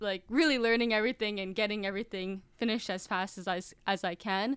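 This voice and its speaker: With an American accent, a woman has an ordinary speaking voice pitched fairly high. She talks at a fairly quick pace with fairly even intonation. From Massachusetts. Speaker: filmmaker and YouTuber. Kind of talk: casual interview. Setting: remote call.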